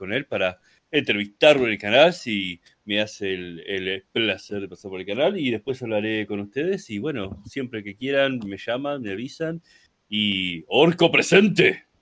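At a fairly slow pace, a man with a fairly low pitch speaks with lively intonation and big swings in loudness. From Argentina. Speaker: content creator. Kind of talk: casual chat.

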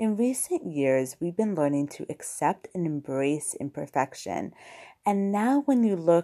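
Over a quiet background, a woman in a slight New York accent speaks with a dark, mellow tone and very wide pitch swings. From New York, US. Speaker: podcast host and blogger. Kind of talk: solo podcast monologue. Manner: friendly, conversational, some filler words.

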